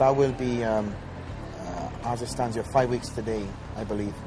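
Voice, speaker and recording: The speaker has a Welsh accent, heard with audible room echo and noticeable background noise. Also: man. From Wales. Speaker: professional bodybuilder. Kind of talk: video diary. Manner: hesitant, many fillers.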